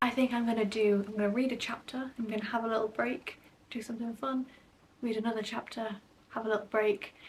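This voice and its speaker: A woman whispers. She talks at a very fast pace. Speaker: book vlogger. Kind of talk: casual vlog talk to camera. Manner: whispering.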